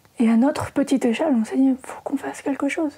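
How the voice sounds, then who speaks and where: A woman with a high pitch, plus noticeable background noise. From France, Normandy. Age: 40s. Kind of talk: interview conversation. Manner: hesitant, many fillers.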